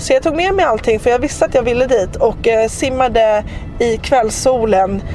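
The loudness stays very even throughout. Music sits in the background. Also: woman, high pitch for a woman, ordinary pitch variation, moderate pace. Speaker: travel podcast host. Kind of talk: casual travel monologue.

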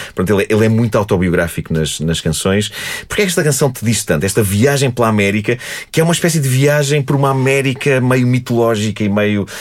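A man speaks at a very fast pace and a medium pitch, with lively intonation. Noticeable background noise runs behind him. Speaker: podcast host. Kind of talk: casual chat.

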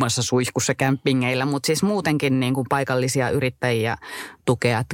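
A woman with a very deep, low pitch talks at a fairly slow pace with fairly even intonation. The sound is dry and close, with no echo. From Finnish Lapland, Kittilä. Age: 30s. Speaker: travel podcast co-host. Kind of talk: casual chat.

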